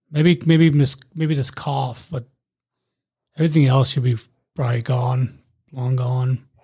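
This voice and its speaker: A man's medium-pitched, dark, mellow and somewhat breathy voice, fairly slow, with fairly even intonation and long, frequent pauses. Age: 40s. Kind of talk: casual chat. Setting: video call.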